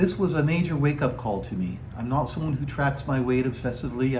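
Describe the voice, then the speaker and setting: Noticeable background noise behind a man's fairly quick speech, medium in pitch, with ordinary pitch variation. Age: 60s. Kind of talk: casual talk to camera.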